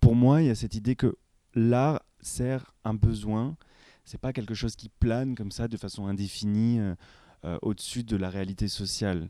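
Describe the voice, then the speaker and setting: A man speaks at a moderate pace with a dark, mellow tone and ordinary pitch variation, leaving long, frequent pauses in a very clean recording with a silent background. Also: medium pitch for a man, big swings in loudness. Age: 30s. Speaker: exhibition curator. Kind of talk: interview.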